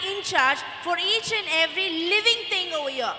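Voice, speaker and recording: A woman's raised, projected voice amid audible room echo and light background noise. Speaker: teacher or event host. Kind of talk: speech to an audience of parents. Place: stage. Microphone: handheld.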